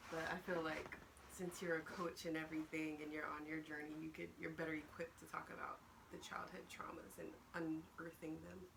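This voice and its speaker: A woman with a very deep, low pitch speaks at a fairly quick pace in a flat monotone. Room echo is audible, and background noise is noticeable. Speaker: video blogger. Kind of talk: casual chat. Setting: at home, morning.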